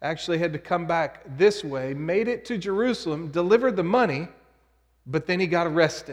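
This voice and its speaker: Against a quiet background, a man with an American accent speaks at a high pitch. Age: 40s. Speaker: pastor. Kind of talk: sermon.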